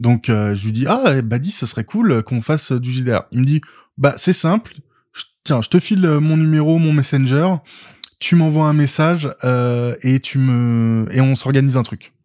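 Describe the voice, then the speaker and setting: Speaking at a fairly slow pace, a man with a medium pitch has a dark, mellow tone in a dry, close sound with no echo. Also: ordinary pitch variation. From France, Paris region (Val-de-Marne). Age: 20s. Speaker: funeral services worker and role-player. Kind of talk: casual chat.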